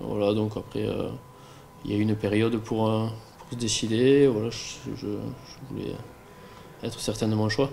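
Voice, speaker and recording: Speaking at a fairly slow pace, a man with a fairly low pitch keeps a monotone, flat intonation while the room echoes audibly. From southern France (Aveyron, Rodez). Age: 20s. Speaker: professional cyclist. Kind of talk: interview. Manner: halting, many fillers and repetitions.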